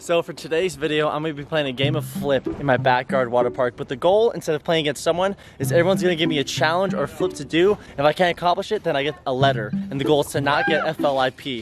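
Over clear music in the background, a man talks at a very fast pace with hardly any pauses, ordinary pitch variation and a dry sound with no echo. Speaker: vlogger. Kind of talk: casual vlog chat. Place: garden. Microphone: phone near.

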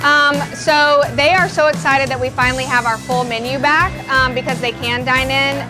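Clear music plays behind a woman as she talks. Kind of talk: interview answer. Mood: warm, enthusiastic. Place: cafe.

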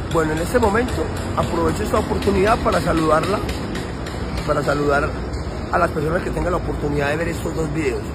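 Music plays in the background. The speech moves at a very fast pace. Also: man. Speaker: street preacher. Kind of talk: informal street preaching. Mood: earnest, intense. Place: street. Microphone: phone near.

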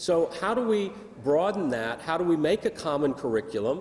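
The pitch swings very widely as the speaker moves along at a moderate pace. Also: man. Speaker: conference presenter. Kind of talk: lecture. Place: hall. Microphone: podium.

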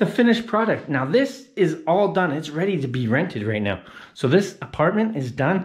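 A man speaks at a moderate pace with very wide pitch swings and vocal fry. The background is quiet. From Canada, Hamilton, Ontario; Ontario, Canada. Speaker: travel vlogger. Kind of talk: casual vlog narration. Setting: indoors, apartment under renovation. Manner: animated. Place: home room. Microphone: phone near.

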